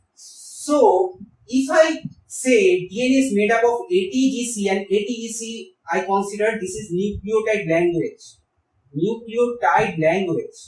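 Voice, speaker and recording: Speaking fairly slowly in a Bengali accent, a man uses a high pitch and lively intonation. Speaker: biology teacher. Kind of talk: tutorial.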